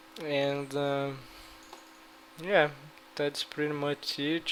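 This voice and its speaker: A man with a Brazilian Portuguese accent speaks at a fairly high pitch. Noticeable background noise runs underneath. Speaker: gaming YouTuber. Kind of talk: gameplay strategy talk. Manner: halting.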